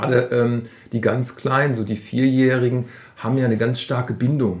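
A man with an ordinary speaking voice and medium pitch talks at a moderate pace. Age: 40s. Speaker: youth football coach. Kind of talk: interview.

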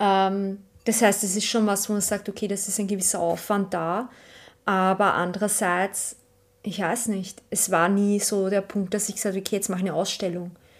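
A woman's medium-pitched voice in a Viennese accent, monotone and flat at a moderate pace, on a very clean recording with a silent background. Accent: Viennese Austrian German. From Austria, Vienna. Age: 30s. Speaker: archivist and artist. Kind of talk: casual interview. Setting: at home.

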